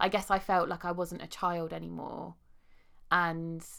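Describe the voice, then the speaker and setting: She speaks with a southern English accent. This woman's voice is fairly low and her pace moderate. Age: 30s. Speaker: podcast host and life coach. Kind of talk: casual interview chat.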